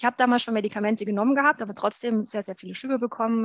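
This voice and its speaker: A woman with fairly high pitch talks at a very fast pace, the sound dry and close with no echo against a quiet background. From Bavaria, Germany. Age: 30s. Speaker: university lecturer and author. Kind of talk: interview.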